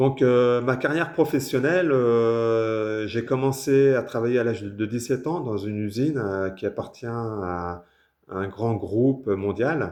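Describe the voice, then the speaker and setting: A man with a medium pitch and ordinary pitch variation talks against a quiet background. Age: 60s. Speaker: author. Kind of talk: casual self-introduction. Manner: hesitant, many fillers.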